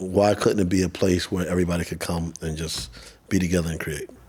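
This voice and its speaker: Delivered at a very fast pace in a flat, monotone intonation, this voice has an American accent on a very clean recording with a silent background. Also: man. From New York, Bronx and Queens. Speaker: podcast host. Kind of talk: interview.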